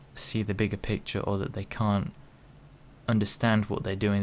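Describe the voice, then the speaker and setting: A man with a British accent speaks at a fairly low pitch in a flat monotone, on a very clean recording with a silent background. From United Kingdom. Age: 20s. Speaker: vlogger. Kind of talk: opinion monologue. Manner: slow; halting.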